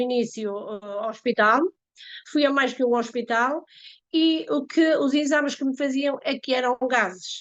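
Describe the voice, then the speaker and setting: Against a quiet background, a woman with a high voice talks at a moderate pace with ordinary pitch variation. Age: 60s. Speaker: network marketer giving testimony. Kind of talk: testimony. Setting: live stream with microphone. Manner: halting, many fillers.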